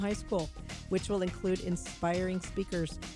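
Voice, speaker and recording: A woman's voice at a moderate pace, with music playing in the background. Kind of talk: radio promo announcement.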